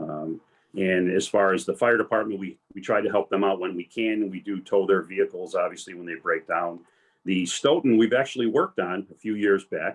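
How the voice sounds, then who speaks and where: A man talks at a fairly quick pace in a plain, everyday voice. His pitch is fairly low, with ordinary variation. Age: 60s. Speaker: retired police commander and tow business owner. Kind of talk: career panel talk.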